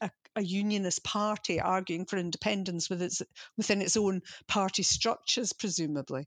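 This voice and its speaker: Against a quiet background, a woman speaks in an unremarkable speaking voice with ordinary pitch variation. The sound is dry and close, with no echo. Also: medium pitch for a woman, fairly quick pace. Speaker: podcast host and magazine editor. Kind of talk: casual political discussion podcast.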